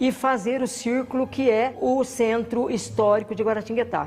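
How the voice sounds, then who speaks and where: Here a woman talks at a fairly slow pace. She has a fairly high pitch and an ordinary speaking voice. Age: 60s. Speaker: carnival group founder and cultural producer. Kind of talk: interview monologue.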